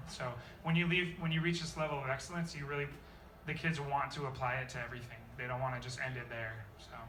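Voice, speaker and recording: Very fast speech with ordinary pitch variation, audible room echo and noticeable background noise. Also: man, fairly high pitch for a man. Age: young. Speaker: high school jazz band director. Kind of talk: interview.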